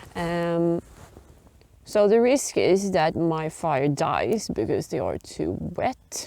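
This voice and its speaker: With a Swedish accent and a dark, mellow tone, a woman speaks very slowly at a fairly low pitch with lively intonation. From Sweden. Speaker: biology and geography teacher, bushcraft hobbyist. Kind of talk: casual talk to camera. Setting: outdoors.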